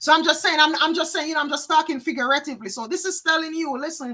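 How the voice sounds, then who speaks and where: With a Jamaican accent, a woman projects a raised, high-pitched voice in a bright, sharp tone. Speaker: psychic card reader. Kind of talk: live tarot reading. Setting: livestream.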